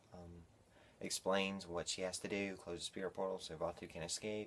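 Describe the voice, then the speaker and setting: His voice is very deep and low. This man talks at a fairly quick pace. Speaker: video reviewer. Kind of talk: casual video review. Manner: fast; animated.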